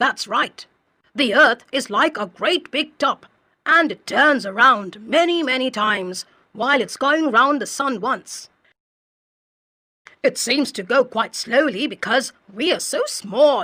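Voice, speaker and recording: A high, female-sounding put-on character voice on a very clean recording with a silent background. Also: fairly slow pace. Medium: read story. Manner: patient, explanatory.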